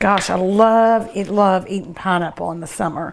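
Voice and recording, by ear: A woman speaks at a moderate pace with vocal fry and ordinary pitch variation. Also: medium pitch for a woman.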